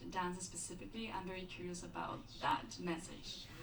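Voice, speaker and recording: A woman with a Spanish accent, with audible room echo. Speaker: audience member. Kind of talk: audience question.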